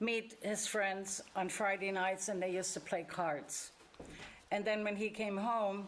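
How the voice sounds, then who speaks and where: A woman with a German accent speaks fairly slowly at a medium pitch, with monotone, flat intonation and very even loudness. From Germany. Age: 80s+. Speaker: church member sharing life story. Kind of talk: testimony. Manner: halting.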